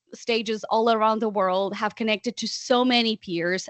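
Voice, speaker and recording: This woman speaks with a non-native accent. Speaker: podcast founder and coach. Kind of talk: interview answer. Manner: outgoing, talkative.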